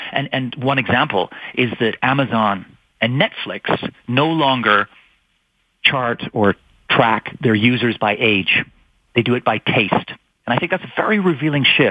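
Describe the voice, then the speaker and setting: At a fairly slow pace, a man talks at medium pitch with ordinary pitch variation, leaving long, frequent pauses. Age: 50s. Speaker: author. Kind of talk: interview. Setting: phone call.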